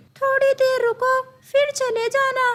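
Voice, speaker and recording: A woman puts on a squeaky, cartoonish character voice at an extremely high pitch. Her intonation stays monotone and flat. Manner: authoritative.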